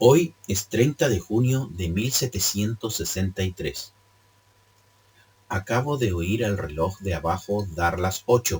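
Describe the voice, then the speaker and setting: A man talks at a very slow pace with a fairly low pitch. His voice is somewhat breathy, with lively intonation. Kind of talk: read story. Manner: occasional stumbles and self-corrections.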